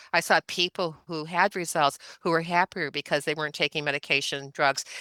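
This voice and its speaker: On a very clean recording with a silent background and a dry, close sound with no echo, a woman talks at a fairly quick pace with a very deep, low pitch, a bright, sharp tone and fairly even intonation. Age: 70s. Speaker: chiropractor and functional medicine practitioner. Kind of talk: interview.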